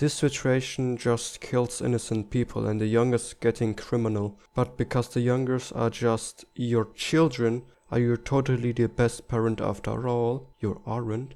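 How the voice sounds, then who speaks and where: With hardly any pauses, a man with a German accent speaks in a dark, mellow tone and a monotone, flat intonation. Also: medium pitch for a man, moderate pace. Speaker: political commentary youtuber. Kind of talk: scripted narration.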